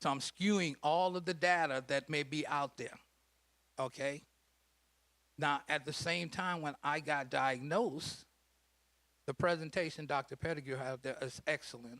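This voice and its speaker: A man with a fairly high pitch and a bright, sharp tone speaks with long, frequent pauses on a very clean recording with a silent background. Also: ordinary pitch variation, moderate pace. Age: 60s. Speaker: prostate cancer survivor and health educator. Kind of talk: panel talk at a health event.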